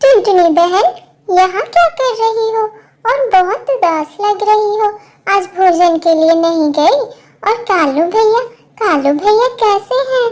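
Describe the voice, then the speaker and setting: A woman speaks in a cartoonish character voice, extremely high in pitch with lively intonation. Her pace is fairly slow and her loudness stays very even. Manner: warm, sisterly.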